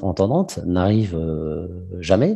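Against a quiet background, a man talks in a very deep, low pitch with a dark, mellow tone. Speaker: business development manager presenting a product. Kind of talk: webinar presentation. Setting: video call webinar. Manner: hesitant, many fillers. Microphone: headset mic close to the mouth.

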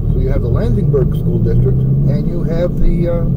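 Someone talks at a fairly slow pace over loud background noise. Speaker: local driving tour narrator. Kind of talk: casual travel commentary. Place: car. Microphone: camera far.

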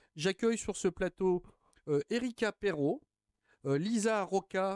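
The background is quiet and the sound dry, with no echo. A man speaks fairly slowly with lively intonation. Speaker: TV talk show host. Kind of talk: TV interview. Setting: TV studio. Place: studio. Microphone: studio mic.

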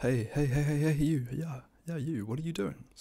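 A soft-spoken, dark, mellow voice at a fairly slow pace against a quiet background. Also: man. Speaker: ASMR creator. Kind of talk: ASMR roleplay. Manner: commanding, bossy but encouraging. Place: home room. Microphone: studio mic.

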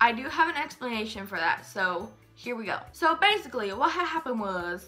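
Music plays faintly behind the voice. The words come at a moderate pace. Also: woman. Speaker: youtuber. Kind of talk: casual vlog chat. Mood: earnest, explaining a hard time. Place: home room. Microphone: phone near.

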